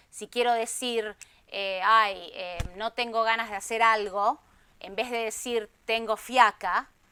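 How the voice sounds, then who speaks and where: Very slowly and in a flat monotone, a woman with a fairly high pitch and a bright, sharp tone speaks with big swings in loudness on a very clean recording with a silent background. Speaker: Spanish teacher. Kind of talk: interview answer.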